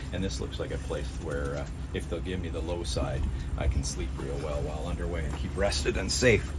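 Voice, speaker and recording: Loud background noise fills the recording. A man talks at a fairly quick pace. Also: ordinary pitch variation. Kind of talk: walkthrough tour commentary. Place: boat. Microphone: phone near.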